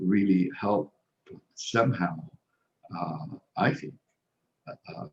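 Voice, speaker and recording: The man's speech carries a non-native accent. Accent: foreign. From Egypt (Cairo). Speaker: social worker. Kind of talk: interview. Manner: halting, many fillers and repetitions.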